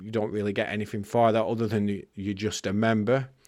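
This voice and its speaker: This man speaks with an English accent. His pace is fairly quick. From England. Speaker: podcast host. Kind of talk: podcast monologue; interview.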